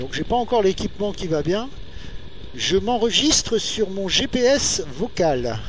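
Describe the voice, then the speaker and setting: With audible room echo and noticeable background noise, a man speaks at a moderate pace. His pitch swings very widely. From northern France (Nord-Pas-de-Calais). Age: 40s. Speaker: motorcycle vlogger. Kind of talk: casual monologue while riding. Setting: riding a motorcycle outdoors. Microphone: recorded via GPS headset mic, poor sound.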